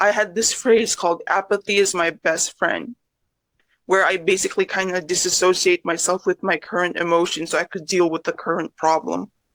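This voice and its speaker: A woman with a normal speaking voice at medium pitch, moderate pace, dry and close sound with no echo. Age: 20s. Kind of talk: interview answer.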